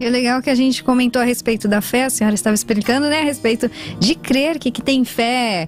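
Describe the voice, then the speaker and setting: Upbeat in tone, a woman speaks at a very fast pace in a high pitch, with ordinary pitch variation and very even loudness. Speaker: radio host. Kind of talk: radio talk show hosting. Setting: radio studio. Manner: upbeat, friendly.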